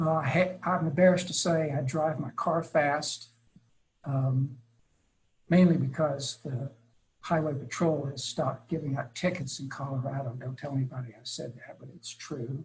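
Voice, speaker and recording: With big swings in loudness, a man speaks at a moderate pace in a somewhat breathy, fairly high voice with fairly even intonation. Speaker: early childhood education expert presenter. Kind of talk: webinar presentation. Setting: webinar.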